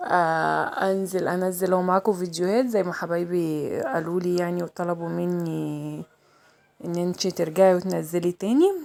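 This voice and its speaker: This woman talks at a fairly slow pace, her pitch fairly low and her intonation fairly even. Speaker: vlogger. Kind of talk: casual vlog chat. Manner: chatty, repetitive.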